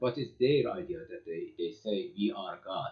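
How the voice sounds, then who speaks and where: This man's voice sits fairly high in pitch and sounds somewhat breathy. He talks at a moderate pace. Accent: non-native. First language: Persian. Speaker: lecturer on poetry and mysticism. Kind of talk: lecture. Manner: halting, many fillers and repetitions.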